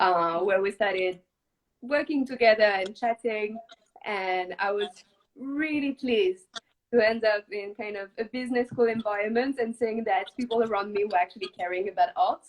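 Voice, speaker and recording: A woman's fairly high voice with a French accent, at a moderate pace with ordinary pitch variation. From southwest France. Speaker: startup co-founder and art director. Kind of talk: interview.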